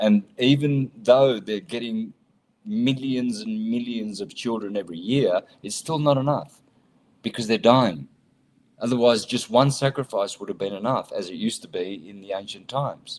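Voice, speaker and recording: This man talks at a moderate pace with a medium pitch and an animated tone, his loudness swinging widely. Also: ordinary pitch variation. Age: 60s. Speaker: conspiracy-themed guest speaker. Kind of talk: interview.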